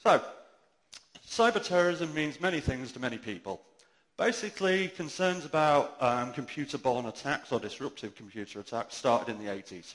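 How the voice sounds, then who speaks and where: Using very wide pitch swings, a man with a British accent talks at a fairly high pitch. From UK. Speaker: conference speaker. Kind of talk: conference talk. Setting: stage with audience, amplified. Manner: fast.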